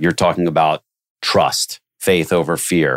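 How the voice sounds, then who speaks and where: A man with a very deep, low pitch and vocal fry speaks at a moderate pace with fairly even intonation on a very clean recording with a silent background. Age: 50s. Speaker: recruiting business development executive. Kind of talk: interview conversation.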